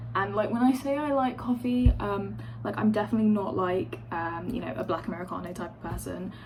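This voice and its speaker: A woman's fairly low voice in a London accent, fairly quick with hardly any pauses and very wide pitch swings, over audible room echo and noticeable background noise. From London, England. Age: 20s. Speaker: vlogger, university student. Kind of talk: casual get-ready-with-me vlog. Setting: at home by an open window. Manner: filler-heavy, rambling with many ums and likes.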